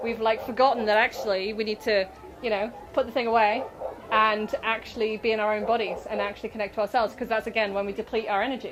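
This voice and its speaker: Very fast, flat, monotone speech from a woman with fairly high pitch, over noticeable background noise. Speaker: author and spiritual self-help speaker. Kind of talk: workshop talk. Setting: stage with audience at a festival. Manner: casual, rambling.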